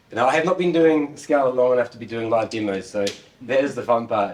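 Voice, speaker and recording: A man with a New Zealand accent talks at a very fast pace with ordinary pitch variation. Noticeable background noise is present. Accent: Kiwi. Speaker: conference speaker, software developer and former rock musician. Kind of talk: tech conference talk.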